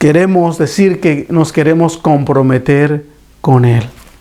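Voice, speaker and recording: Fairly slow, the man's speech unfolds. Noticeable background noise is present throughout. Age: 60s. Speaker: preacher. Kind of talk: sermon. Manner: halting.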